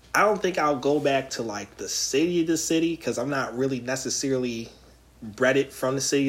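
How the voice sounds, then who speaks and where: Talking at a very fast pace, a man of medium pitch uses ordinary pitch variation. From Philadelphia. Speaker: podcast host. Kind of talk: casual chat. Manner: animated.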